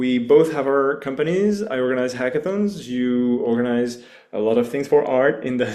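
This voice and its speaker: There is audible room echo around the speaker. He is a man with a French accent. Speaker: hackathon organizer. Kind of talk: online launch call presentation.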